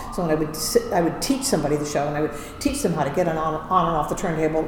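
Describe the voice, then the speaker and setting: The intonation is lively. Audible room echo and noticeable background noise surround the voice. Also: woman. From US Midwest, Indiana. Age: 60s. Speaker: Broadway ensemble performer. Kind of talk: casual interview chat. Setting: recording studio.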